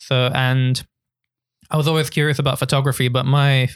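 In a very clean recording with a silent background and a dry, close sound with no echo, a man speaks fairly quickly at a medium pitch in a monotone, flat intonation. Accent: London. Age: 20s. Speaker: photographer and YouTuber. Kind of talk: casual chat.

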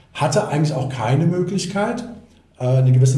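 There is audible room echo. A man talks with lively intonation. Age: 50s. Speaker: mortgage platform regional manager. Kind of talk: podcast interview.

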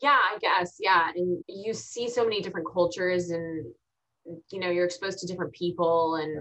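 A woman with an unremarkable speaking voice, fairly low in pitch, at a fairly quick pace with ordinary pitch variation. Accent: American. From Texas. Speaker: TV show host. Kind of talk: interview conversation.

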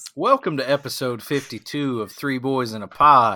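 Recorded very cleanly against a silent background, a man with an American accent talks at a very slow pace with lively intonation. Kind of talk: casual banter.

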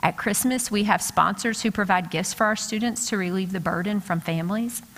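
A woman with an American accent talks at a fairly quick pace. Her pitch is medium and her intonation fairly even. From western Kentucky, US. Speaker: educator and guest speaker. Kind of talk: sermon. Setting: church.

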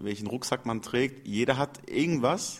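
The man talks at a moderate speed, his pitch in the middle range. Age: 30s. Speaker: CrossFit trainer and gym owner. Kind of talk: interview. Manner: hesitant with filler sounds.

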